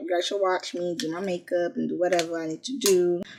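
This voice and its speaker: Noticeable background noise is present throughout. Over it, a woman keeps a moderate pace. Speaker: beauty vlogger. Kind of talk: casual vlog talk to camera. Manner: mumbles words sometimes; animated.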